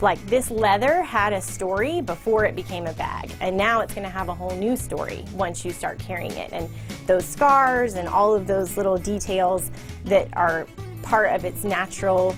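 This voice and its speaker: Music in the background behind a woman speaking at a moderate pace. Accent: American. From Texas. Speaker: leather handbag designer. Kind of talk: interview answer. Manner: casual, conversational.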